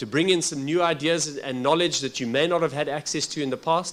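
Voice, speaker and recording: Speaking at a fairly quick pace with a South African accent, a man uses a fairly high pitch and ordinary pitch variation. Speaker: workshop facilitator. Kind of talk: formal workshop address. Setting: workshop with audience. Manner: halting, with frequent fillers.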